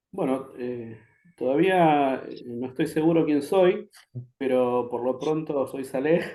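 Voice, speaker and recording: At a very slow pace, a man talks with a dark, mellow tone and a fairly high pitch. His pitch variation is ordinary, but his loudness swings widely. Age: 40s. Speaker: social psychologist and spiritual teacher. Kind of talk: interview.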